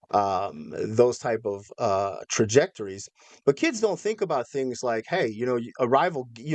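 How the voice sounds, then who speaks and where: A man's plain, everyday voice with an American accent, medium pitch and moderate pace, in a dry, close sound with no echo. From Minnesota, US Midwest. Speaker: former extremist turned educator. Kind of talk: interview.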